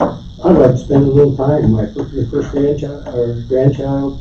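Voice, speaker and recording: A man talks at a moderate pace over music in the background. Audible room echo surrounds his voice. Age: 70s. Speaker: landowner addressing county board. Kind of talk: public meeting comment. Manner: halting, repeats words.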